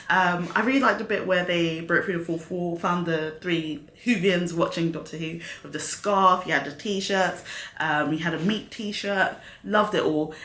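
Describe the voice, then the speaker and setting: A woman speaks at a moderate pace and fairly low pitch with ordinary pitch variation. Noticeable background noise and audible room echo are present. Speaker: YouTube reaction host. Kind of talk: casual review monologue. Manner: animated.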